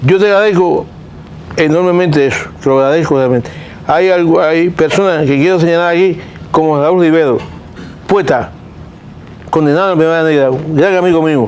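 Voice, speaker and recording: Speaking with fairly high pitch and fairly even intonation, a man keeps his loudness very even at a moderate pace, with long, frequent pauses. Audible room echo and noticeable background noise are present. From Cuba. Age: 70s. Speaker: political dissident. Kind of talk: interview.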